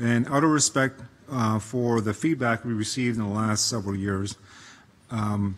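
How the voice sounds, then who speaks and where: A man speaks at a moderate pace. His medium pitch holds fairly even intonation. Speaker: conference host. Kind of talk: event opening remarks. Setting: conference room with audience, livestreamed. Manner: halting, many fillers.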